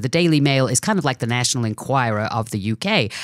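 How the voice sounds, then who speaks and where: A woman's very deep, low voice with a British accent, lively intonation and a fairly quick pace. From England. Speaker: radio host. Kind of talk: radio interview.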